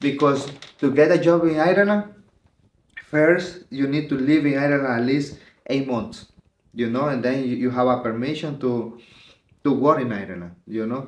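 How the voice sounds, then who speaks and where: Speaking in a Spanish accent at a fairly high pitch, a man moves at a moderate pace with ordinary pitch variation. Long, frequent pauses break his speech, and audible room echo surrounds it. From El Salvador. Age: 30s. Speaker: asylum seeker. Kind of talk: personal testimony interview. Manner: halting, many fillers.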